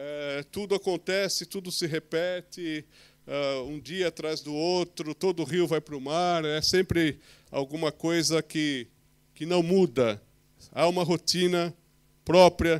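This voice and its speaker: Against a quiet background, a man speaks at a high pitch and a fairly slow pace. His pitch variation is ordinary. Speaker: preacher. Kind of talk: sermon. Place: church.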